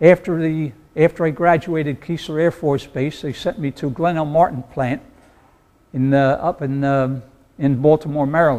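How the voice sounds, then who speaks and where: A man with an American accent speaks at a fairly high pitch in a dark, mellow tone. His intonation is fairly even. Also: moderate pace. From New Jersey. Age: 80s+. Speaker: war veteran. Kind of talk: talk to an audience. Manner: halting.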